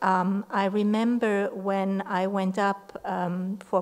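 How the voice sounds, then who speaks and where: This woman speaks with monotone, flat intonation. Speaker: university professor. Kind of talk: memorial tribute. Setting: memorial event with audience. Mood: warm, reflective remembrance. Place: classroom. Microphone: podium.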